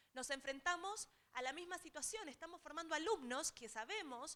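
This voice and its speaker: A woman's raised, projected voice in an Argentine accent, fairly quick and with lively intonation, over noticeable background noise. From Argentina. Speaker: technology transfer specialist. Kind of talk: seminar talk.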